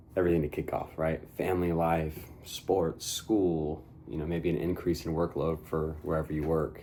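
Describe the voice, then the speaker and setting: A man speaks quietly at a moderate pace with fairly even intonation. His pitch is very deep and low, his tone dark and mellow. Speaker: men's ministry leader. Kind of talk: devotional talk. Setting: at home. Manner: speaking quietly.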